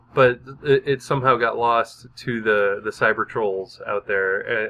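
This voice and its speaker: A man speaks in an unremarkable speaking voice at medium pitch. His pace is fairly slow and his intonation fairly even. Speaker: podcast co-host. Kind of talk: casual chat. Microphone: new microphone.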